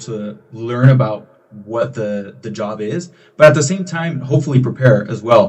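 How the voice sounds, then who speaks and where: The man's voice is somewhat breathy. It sits at medium pitch with ordinary pitch variation. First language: Spanish. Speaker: college student leader. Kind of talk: podcast interview.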